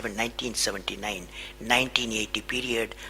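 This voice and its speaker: Someone with a Tamil Indian accent speaks at a fairly quick pace over noticeable background noise. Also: man. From Tamil Nadu, India. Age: 70s. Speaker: aerospace scientist and former president. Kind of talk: motivational speech to an audience.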